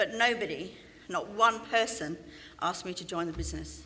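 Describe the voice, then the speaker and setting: Medium in pitch and fairly quick in pace, a woman speaks with a London accent. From London, England. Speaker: business speaker. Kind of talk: motivational talk.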